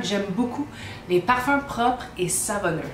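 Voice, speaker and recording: With lively intonation, a woman speaks at a moderate pace amid audible room echo and noticeable background noise. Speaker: perfume reviewer. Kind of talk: casual vlog review. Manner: hesitant with fillers.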